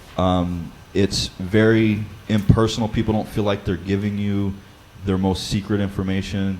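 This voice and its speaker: Noticeable noise sits in the background. Over it, a man talks fairly slowly. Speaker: church Bible study leader. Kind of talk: seminar talk.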